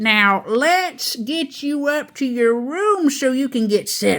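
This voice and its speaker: A woman speaks at a high pitch in a put-on character voice. Her pace is fairly slow. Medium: read story.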